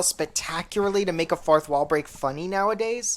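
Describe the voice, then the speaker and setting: Speaking with an American accent, a woman talks at a fairly quick pace with lively intonation. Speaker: podcast host. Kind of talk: casual chat.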